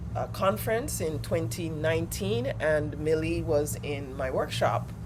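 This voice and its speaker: Over noticeable background noise and audible room echo, a woman talks at a fairly slow pace. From Jamaica. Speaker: healing justice practitioner and coach. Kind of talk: workshop facilitation. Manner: halting, many fillers.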